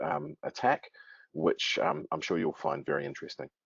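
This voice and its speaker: With a New Zealand accent, a man talks at a moderate pace. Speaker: webinar moderator. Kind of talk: webinar introduction. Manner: hesitant, many fillers.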